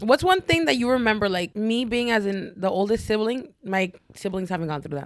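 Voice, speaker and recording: A woman speaks at a fairly quick pace with lively intonation. Her pitch is fairly high. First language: Spanish. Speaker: podcast co-host. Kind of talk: casual chat.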